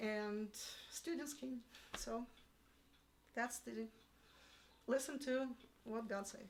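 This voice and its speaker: A woman with a Russian accent and a high pitch talks at a very slow pace. She leaves long, frequent pauses, and her pitch varies in an ordinary way. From Russia (Yalta, Crimea). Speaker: piano teacher. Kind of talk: interview. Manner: halting.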